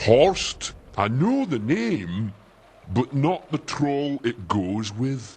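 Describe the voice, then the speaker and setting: A man puts on a character voice at a medium pitch, speaking at a very slow pace. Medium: video game. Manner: slow, dim, ungrammatical.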